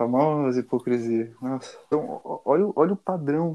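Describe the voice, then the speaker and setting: Recorded with a dry, close sound and no echo, a man speaks at a fairly slow pace, his pitch fairly high and his tone dark and mellow. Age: 20s. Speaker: podcast co-host. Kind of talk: casual chat.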